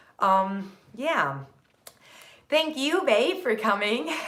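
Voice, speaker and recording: Audible room echo and noticeable background noise surround this woman. Her intonation is lively. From Turkey, Istanbul. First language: Turkish. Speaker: productivity content creator. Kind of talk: live stream chat. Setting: live stream. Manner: energetic.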